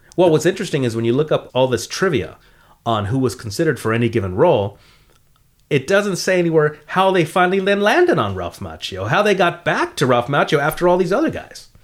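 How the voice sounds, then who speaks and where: On a very clean recording with a silent background, a man with a Californian accent speaks very fast at a fairly high pitch, his voice showing vocal fry and very wide pitch swings. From US West Coast, San Fernando Valley. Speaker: comedian, co-host. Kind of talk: casual chat. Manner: animated.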